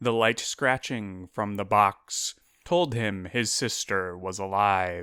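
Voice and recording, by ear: With ordinary pitch variation, the passage is delivered by reading aloud in a natural voice.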